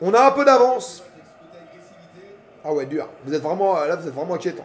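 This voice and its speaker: A man talks fairly quickly in a high pitch, his tone animated and his pitch swinging very widely. Noticeable background noise sits behind him. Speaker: streamer. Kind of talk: live football reaction stream, casual chat. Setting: at home on his couch. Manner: animated, shouting at the match.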